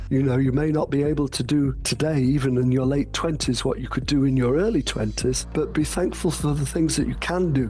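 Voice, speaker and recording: There's noticeable background noise and audible room echo as a man talks at a fairly quick pace with hardly any pauses and very even loudness. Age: 70s. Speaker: patient advocate. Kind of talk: interview.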